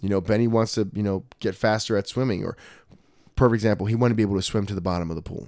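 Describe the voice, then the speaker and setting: On a very clean recording with a silent background, a man with a fairly low pitch talks very fast in a fairly even intonation. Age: 30s. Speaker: jiu-jitsu academy owner and podcast host. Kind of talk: casual chat. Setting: in the academy after class.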